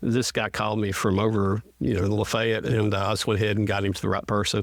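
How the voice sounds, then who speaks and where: A man with a Southern US accent talks very fast at a fairly low pitch, his intonation flat and monotone. The recording is very clean, with a silent background. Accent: Southern US (Georgia). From northwest Georgia. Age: 60s. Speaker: state representative. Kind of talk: casual interview.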